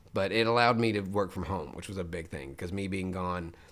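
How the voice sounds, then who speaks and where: With an American accent, a man speaks very fast in a very deep, low pitch. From Memphis, Tennessee, USA. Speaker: professional voice actor, former forklift driver. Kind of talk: casual podcast interview answer. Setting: podcast interview.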